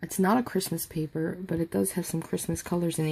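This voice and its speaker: Soft-spoken, a woman talks at a moderate pace with fairly low pitch. Her tone is dark and mellow. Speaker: crafting youtuber. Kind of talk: tutorial. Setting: at home at night. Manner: halting.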